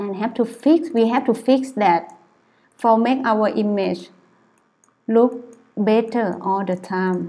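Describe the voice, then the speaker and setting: A soft-spoken woman talks very slowly in a fairly high, dark and mellow voice. She leaves long, frequent pauses. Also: ordinary pitch variation. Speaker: photographer. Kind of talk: tutorial. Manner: halting.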